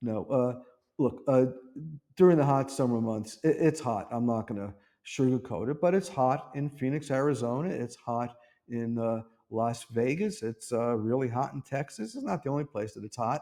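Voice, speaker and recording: At a moderate pace, a man speaks at medium pitch with a dark, mellow tone and ordinary pitch variation. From US East Coast, New York City. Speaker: real estate agent and local vlogger. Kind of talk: casual talk to camera.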